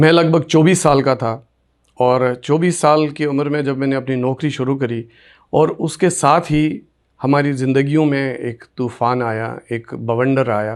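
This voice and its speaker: In a very clean recording with a silent background, a man with an unremarkable speaking voice talks at fairly high pitch with fairly even intonation. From Kashmir, Sopore area (Baramulla district). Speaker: radio presenter. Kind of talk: interview, life story.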